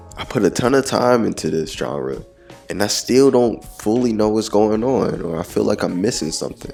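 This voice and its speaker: Music plays in the background as a man with a fairly low voice speaks at a moderate pace with lively intonation. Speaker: gaming video essayist. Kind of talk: video essay narration.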